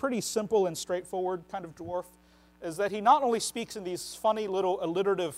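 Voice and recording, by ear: What you hear is someone reading aloud in a natural voice.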